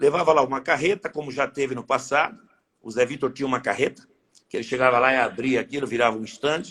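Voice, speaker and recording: Speaking at a fairly quick pace, a man has an ordinary speaking voice pitched fairly high. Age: 60s. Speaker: horse breeders' association president. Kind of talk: interview.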